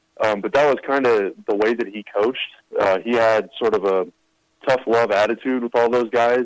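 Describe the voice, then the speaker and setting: Using a plain, everyday voice, a man speaks at a moderate pace in a medium pitch with fairly even intonation. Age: 20s. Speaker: team digital content writer and podcast host. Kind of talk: casual interview.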